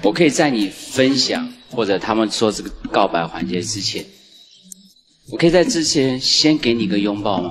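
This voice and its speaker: A man with lively intonation at a moderate pace, faint music in the background. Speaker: dating show panelist; panelist. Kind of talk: dating show banter. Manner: playful. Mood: moved, hesitant, shy. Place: stage. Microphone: handheld.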